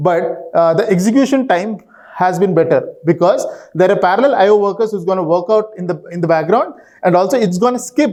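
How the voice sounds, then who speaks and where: There is noticeable background noise as a man talks at a fairly quick pace. His pitch is high, with ordinary pitch variation. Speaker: database consultant. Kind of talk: conference talk. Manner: fast; halting, many fillers.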